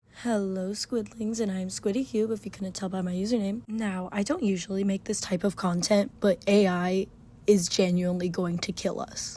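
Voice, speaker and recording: A woman's somewhat breathy voice at a moderate pace, with fairly even intonation. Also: medium pitch for a woman. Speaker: commentary youtuber. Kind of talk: scripted commentary. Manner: casual, filler-heavy.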